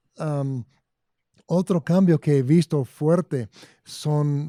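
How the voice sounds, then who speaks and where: With a dark, mellow tone and ordinary pitch variation, a man speaks at a very slow pace with long, frequent pauses, in a dry, close sound with no echo. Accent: English. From Arizona. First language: English (speaking Spanish). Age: 60s. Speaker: agronomy consultant. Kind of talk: interview.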